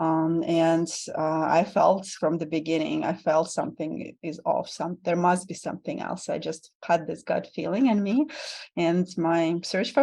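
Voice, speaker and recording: In a Russian accent, a woman with a fairly low pitch and a dark, mellow tone keeps her intonation fairly even. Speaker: vulnerability guide and tantric bodyworker. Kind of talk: podcast interview.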